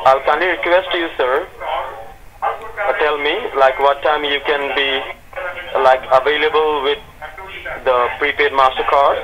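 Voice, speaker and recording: A man's fairly high voice at a fairly slow pace, ordinary pitch variation, and noticeable background noise. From Sri Lanka. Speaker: scam caller posing as tech support. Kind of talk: scripted sales pitch on phone call.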